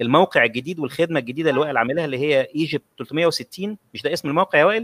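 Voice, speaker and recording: Lively intonation carries this man's high voice. The sound is dry and close, with no echo. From Egypt, Cairo (Shubra). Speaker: online talk show host. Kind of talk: live-streamed conversation.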